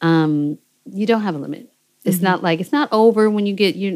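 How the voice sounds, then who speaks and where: An American accent with ordinary pitch variation. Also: woman. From US West Coast, Seattle. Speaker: singer-songwriter and producer. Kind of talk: interview conversation. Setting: recording, no camera. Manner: animated.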